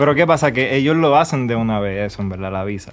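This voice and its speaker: There is noticeable background noise. Over it, a man talks at a medium pitch. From Puerto Rico. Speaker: filmmaker and traveler. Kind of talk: casual chat.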